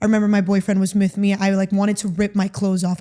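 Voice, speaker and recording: A woman's dark, mellow voice with an American accent, medium in pitch, monotone and flat, at a very fast pace. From Miami, Florida. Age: 20s. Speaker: recovered therapy client. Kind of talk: interview. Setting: in-person interview.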